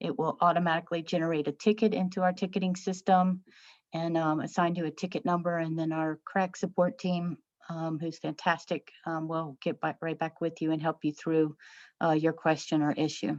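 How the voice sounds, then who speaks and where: Against a quiet background, a dry, close sound with no echo carries a woman's fairly low-pitched voice at a moderate pace with fairly even intonation. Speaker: software trainer. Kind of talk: tutorial. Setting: webinar. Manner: hesitant with fillers.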